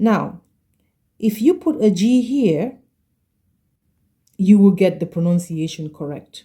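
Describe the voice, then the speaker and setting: A woman's somewhat breathy, dark, mellow voice carries lively intonation on a very clean recording with a silent background. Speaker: French language teacher. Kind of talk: tutorial. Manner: slow, careful pronunciation.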